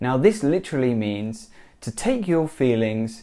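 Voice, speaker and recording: Speaking in a British accent, a man uses lively intonation. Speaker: English teacher. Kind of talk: language lesson to camera.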